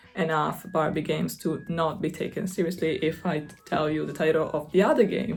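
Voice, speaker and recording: A woman with an Italian accent speaks at a fairly low pitch with fairly even intonation. Music plays behind her. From Italy. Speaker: gaming YouTuber. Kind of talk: casual vlog talk.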